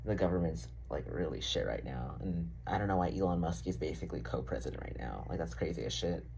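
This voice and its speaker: Very deep and low, a man's voice moves with lively intonation at a very fast pace. There are hardly any pauses, and room echo can be heard. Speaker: vlogger. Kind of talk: casual vlog monologue. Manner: casual, filler-heavy.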